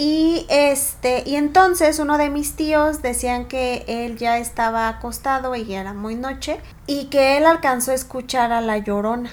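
Audible room echo surrounds a woman with a high pitch. She speaks at a fairly slow pace with hardly any pauses. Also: ordinary pitch variation. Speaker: podcast co-host. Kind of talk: casual chat.

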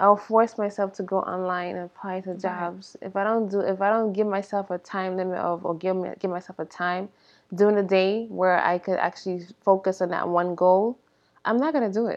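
A woman with a plain, everyday voice talks at a fairly quick pace, medium in pitch, with fairly even intonation. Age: 30s. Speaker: nurse. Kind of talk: casual chat.

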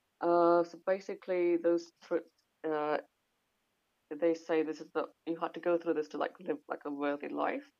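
At a moderate pace with long, frequent pauses, a woman with a British accent talks in a fairly low pitch and fairly even intonation. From Sri Lanka. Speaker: medical student. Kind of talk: interview, informative talk about home country. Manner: hesitant, many filler words.

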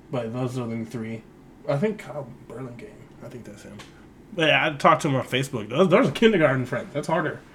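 A man of medium pitch speaks fairly quickly with lively intonation and big swings in loudness. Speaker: podcast host. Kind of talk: casual comedic chat. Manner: animated, jokey.

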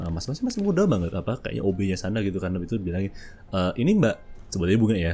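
A man with a fairly low pitch talks while music plays in the background. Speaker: podcast host. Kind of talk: casual chat.

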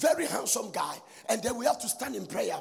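Very fast and animated, a man speaks at an extremely high pitch with very wide pitch swings while noticeable background noise plays. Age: 50s. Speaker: pastor. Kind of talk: sermon. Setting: church.

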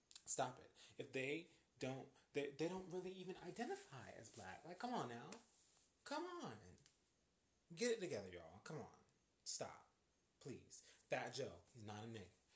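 A man's fairly high voice with vocal fry, very wide pitch swings and big swings in loudness, at a moderate pace broken by long, frequent pauses. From US with Jamaican family, some years in Jamaica. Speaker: podcast host. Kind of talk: solo commentary monologue. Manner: animated.

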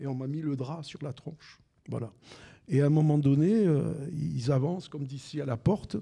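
A man's somewhat breathy voice, fairly high in pitch, at a moderate pace with ordinary pitch variation and a dark, mellow tone. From Algeria, raised in Besançon. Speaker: retired football radio commentator. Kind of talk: casual interview before live audience. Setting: live recording with audience.

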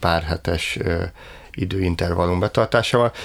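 At a moderate pace, a man speaks with very deep, low pitch and ordinary pitch variation. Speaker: head of a library digitisation department. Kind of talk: interview.

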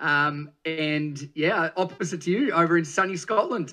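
With music in the background, a man with an Australian accent speaks in a high pitch. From rural Australia. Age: 30s. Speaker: fitness educator and speaker. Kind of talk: podcast interview. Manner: energetic.

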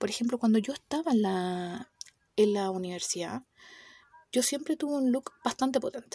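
A woman's plain, everyday voice, fairly high in pitch with ordinary pitch variation, at a fairly quick pace, the sound dry and close with no echo. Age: 30s. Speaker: clinical psychologist and podcast host. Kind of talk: solo podcast talk.

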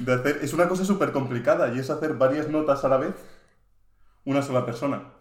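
A man at a very fast pace, fairly high in pitch, with fairly even intonation, long, frequent pauses, and audible room echo. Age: 20s. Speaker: software engineering student and data engineer. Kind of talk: casual chat.

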